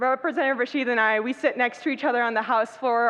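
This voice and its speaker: With an American accent, a woman talks in a high pitch, her pitch varying in an ordinary way. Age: 20s. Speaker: state legislator. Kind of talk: speech. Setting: banquet hall with audience. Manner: impassioned.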